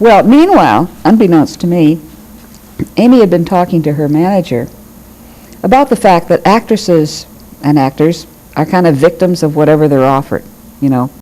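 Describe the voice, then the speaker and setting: Lively intonation in an American accent, dark and mellow in tone, at a moderate pace with long, frequent pauses. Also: woman, fairly low pitch for a woman. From Michigan, US Midwest. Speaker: retired judge. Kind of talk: oral history interview.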